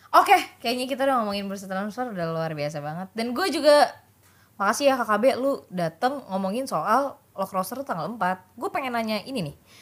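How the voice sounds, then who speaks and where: An energetic woman's voice, fairly high, at a fairly quick pace with very wide pitch swings. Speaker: podcast host. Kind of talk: casual chat.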